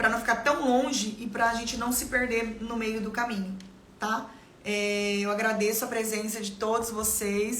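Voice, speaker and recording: Flat and monotone, a woman speaks with a fairly high pitch. Noticeable background noise and audible room echo fill the recording. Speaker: life mentor and salon owner. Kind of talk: live stream motivational talk. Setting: live stream. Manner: fast.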